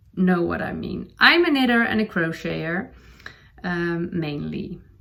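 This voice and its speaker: A woman is speaking. She has a Dutch accent. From Netherlands. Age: 40s. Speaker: knitting podcaster. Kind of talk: casual chat. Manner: halting, many fillers.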